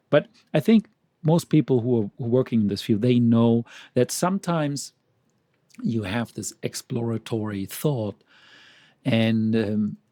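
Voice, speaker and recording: A man's dark, mellow voice with a non-native accent and lively intonation. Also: dry, close sound with no echo, very clean recording, silent background. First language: not English. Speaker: medical publication trainer. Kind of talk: presentation.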